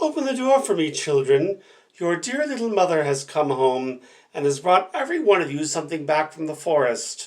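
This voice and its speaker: Moderately paced speech in a put-on character voice. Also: man, fairly high pitch for a man. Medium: read story. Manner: wheedling, deceitful.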